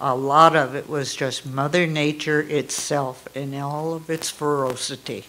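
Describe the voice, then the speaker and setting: The speech moves at a fairly slow pace with hardly any pauses. Noticeable background noise runs underneath. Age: 80s+. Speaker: fire survivor, resident speaking at public session. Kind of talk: public comment testimony.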